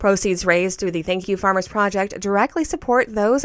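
A woman with an ordinary speaking voice talks at a fairly quick pace, her medium pitch showing ordinary variation. The recording is very clean, with a silent background. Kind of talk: scripted news reading. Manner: steady, formal, neutral newsreader tone.

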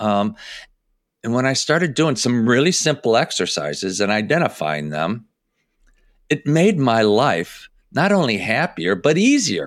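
With an American accent, this speaker uses vocal fry and very wide pitch swings at a fairly slow pace, in a very clean recording with a silent background. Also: man, medium pitch for a man. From US Midwest, Chicago suburbs. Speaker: personal development coach. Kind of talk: casual interview.

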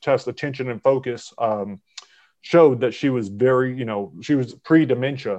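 In a normal speaking voice, a man of medium pitch talks at a moderate pace with fairly even intonation against a quiet background. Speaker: podcast host. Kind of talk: casual chat.

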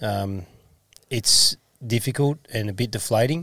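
A man speaks in an Australian accent, with ordinary pitch variation. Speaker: football coach and podcast co-host. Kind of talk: casual chat.

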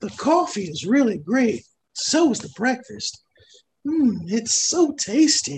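In a put-on character voice, the speaker goes fairly slowly at a fairly high pitch with very wide pitch swings. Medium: actual play. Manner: folksy, polite.

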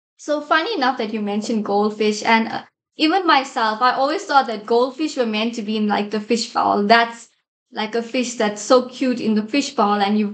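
Here a woman has an unremarkable speaking voice, fairly high in pitch. She talks at a moderate pace with ordinary pitch variation. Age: 20s. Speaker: ministry team member. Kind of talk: faith-based discussion. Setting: studio.

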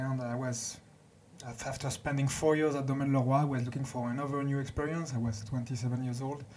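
Very fast and somewhat breathy, the voice has a French accent and monotone, flat intonation, with audible room echo. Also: man. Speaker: winemaker. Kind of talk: interview. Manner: halting.

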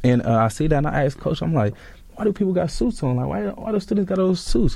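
Speaking at a very fast pace with an American accent, a man swings very widely in pitch, his dark, mellow tone somewhat breathy. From Sacramento, California. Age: 20s. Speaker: recent college graduate and football player. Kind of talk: casual interview.

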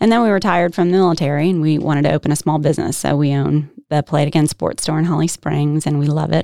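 Very fast, dark, mellow delivery with fairly even intonation and a dry, close sound with no echo. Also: woman. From Northern Virginia, US. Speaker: state legislator. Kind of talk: interview.

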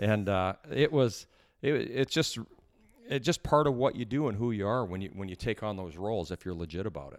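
A man with a Canadian accent speaks at a fairly quick pace in an ordinary speaking voice, his fairly low pitch carried by lively intonation and big swings in loudness, on a very clean recording with a silent background. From Canada (Edmonton, Alberta). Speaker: former pro hockey player. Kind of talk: interview storytelling.

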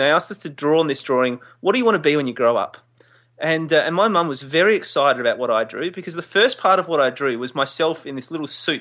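Very fast and high-pitched, a man speaks in an Australian accent. His intonation is lively. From Adelaide, Australia. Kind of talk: casual interview chat.

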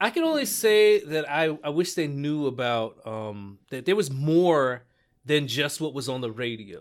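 On a very clean recording with a silent background, a man with an unremarkable speaking voice talks fairly slowly in a fairly high pitch with lively intonation. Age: 40s. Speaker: podcast host and comedian guest. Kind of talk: casual chat.

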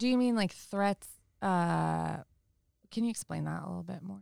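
With an American accent, a woman talks at a moderate pace, taking long, frequent pauses. The sound is dry and close, with no echo. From Northern California, Sonoma County. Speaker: worship singer. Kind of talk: casual chat.

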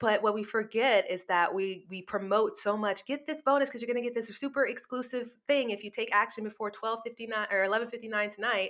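Spoken at a very fast pace with hardly any pauses, this voice has fairly even intonation and an American accent. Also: woman, fairly high pitch for a woman. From US South, New Orleans. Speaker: copywriting agency owner. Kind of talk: interview.

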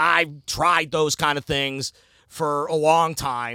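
A loud man with an American accent, a fairly high pitch and a bright, sharp tone, on a very clean recording with a silent background. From US Midwest, Cleveland area, Ohio. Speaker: sports radio station manager and city council candidate. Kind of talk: casual interview. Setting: studio. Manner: animated.

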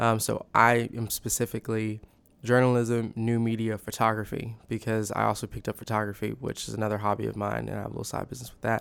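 In an American accent, a man speaks very fast at a medium pitch, his intonation monotone and flat while his loudness swings widely. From Texas, The Woodlands. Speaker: college student. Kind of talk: interview.

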